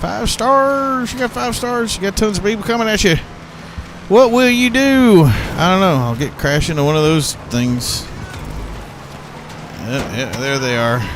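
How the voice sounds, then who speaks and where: A man with an American accent at a fairly slow pace, with long, frequent pauses and very wide pitch swings, amid audible room echo and noticeable background noise. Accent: southern accent comes out under pressure. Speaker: gaming streamer. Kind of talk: live gameplay commentary. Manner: animated.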